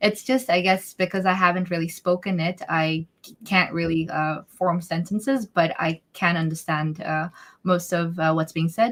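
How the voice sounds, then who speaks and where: A woman speaks with a Bhutanese accent. Her intonation is fairly even. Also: fairly low pitch for a woman, moderate pace, big swings in loudness. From Bhutan, raised partly abroad (third culture kid). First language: Dzongkha. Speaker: interview guest. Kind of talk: live interview Q&A. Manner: halting, many fillers.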